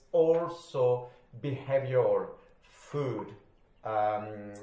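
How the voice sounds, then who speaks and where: A man speaks with a French accent at a fairly high pitch with ordinary variation. The room echo is audible. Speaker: recovery study group leader. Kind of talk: group study session.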